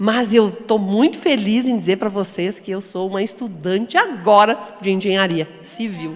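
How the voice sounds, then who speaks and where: Pitch variation here is ordinary. There is noticeable background noise. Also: woman. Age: 60s. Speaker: founder of women's construction training institute. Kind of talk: panel discussion.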